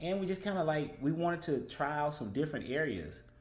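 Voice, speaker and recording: Fairly quick speech comes from a man. Audible room echo can be heard. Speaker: vlogger. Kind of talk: casual monologue. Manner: fast.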